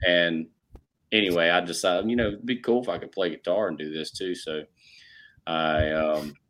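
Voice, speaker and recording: With a Carolinas accent, a man speaks at a moderate pace in a very deep, low pitch with ordinary pitch variation. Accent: Southern US (Carolinas). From US South, South Carolina (Rock Hill). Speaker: country music singer-songwriter. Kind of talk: casual interview chat.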